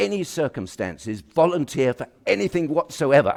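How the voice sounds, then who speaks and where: A man with a British accent speaks at a moderate pace. His pitch swings very widely. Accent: BBC-style English (RP). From England, Kent. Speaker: president of a professional institute. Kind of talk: formal speech. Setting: auditorium with audience. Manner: halting, many fillers.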